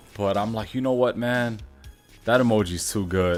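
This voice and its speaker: With music in the background, a man in a New York accent talks at a moderate pace with fairly even intonation. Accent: New York East Coast. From New York, East Coast.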